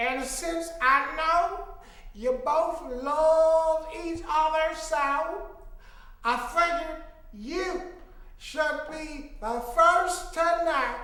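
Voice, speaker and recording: A woman uses a put-on character voice at an extremely high pitch, at a very slow pace with long, frequent pauses. A clear echo surrounds it. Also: ordinary pitch variation. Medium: stage play.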